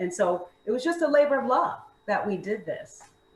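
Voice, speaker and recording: With an American accent, this woman talks while noticeable background noise is heard. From Maryland. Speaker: fitness instructor and food entrepreneur. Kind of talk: interview.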